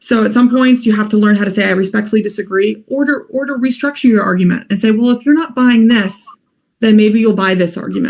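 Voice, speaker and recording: A woman talks at a very fast pace with a fairly high pitch and ordinary pitch variation. Her voice is somewhat breathy. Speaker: law graduate, moot court competitor. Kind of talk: online webinar talk.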